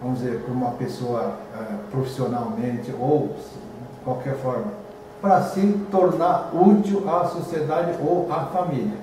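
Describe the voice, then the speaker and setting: A fairly high-pitched man with lively intonation at a fairly slow pace, amid noticeable background noise and audible room echo. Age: 70s. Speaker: museum administrator. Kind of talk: interview. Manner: halting, many fillers.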